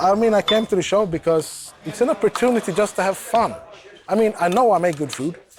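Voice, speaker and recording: A high-pitched man with an American accent, lively intonation and a fairly quick pace, amid noticeable background noise. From Sweden, west coast. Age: 30s. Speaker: cooking show contestant, bodyguard. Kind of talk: interview testimony. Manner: casual, conversational.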